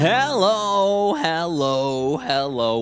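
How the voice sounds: A put-on character voice at a middle pitch, over loud music in the background.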